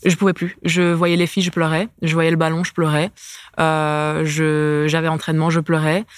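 Monotone, flat intonation marks a woman's fairly low-pitched voice. The recording is very clean, with a silent background. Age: 20s. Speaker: professional basketball player. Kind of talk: casual interview.

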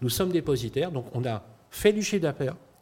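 A man speaks at a fairly quick pace in a dark, mellow tone that is somewhat breathy. His pitch swings very widely. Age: 50s. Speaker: startup founder. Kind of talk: pitch interview. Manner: hesitant, repeats words.

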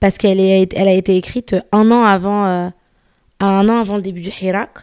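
The sound is dry and close, with no echo. A woman speaks at a medium pitch in a dark, mellow tone. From Paris, France. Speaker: podcaster. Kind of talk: casual chat. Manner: animated.

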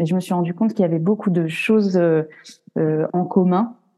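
Fairly low for a woman, her voice is a plain, everyday voice with ordinary pitch variation. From France. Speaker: graphic and web designer. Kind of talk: casual interview.

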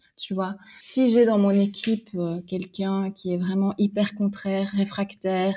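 Somewhat breathy and medium in pitch, a woman speaks at a fairly slow pace. The background is quiet. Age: 30s. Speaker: magazine editor-in-chief. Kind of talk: casual interview.

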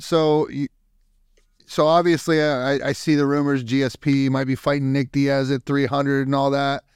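In an unremarkable speaking voice, a man with an American accent talks at a moderate pace, the sound dry and close with no echo. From Youngstown, Ohio. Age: 40s. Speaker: podcast host, Air Force veteran. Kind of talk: casual interview. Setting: video call.

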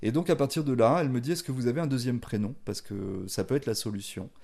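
With a plain, everyday voice, a man talks at a fairly quick pace. His medium pitch carries lively intonation. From France, of Spanish parents. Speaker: chef. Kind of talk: casual interview.

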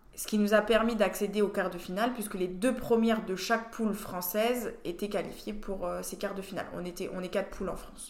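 At a fairly quick pace and with hardly any pauses, a woman talks in a monotone, flat intonation at medium pitch, her loudness swinging widely. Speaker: rugby player and team captain. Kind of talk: casual interview.

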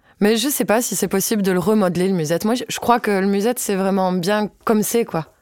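A woman with an ordinary speaking voice talks at a fairly quick pace with ordinary pitch variation and hardly any pauses. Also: medium pitch for a woman. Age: 20s. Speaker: accordionist. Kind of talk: casual interview.

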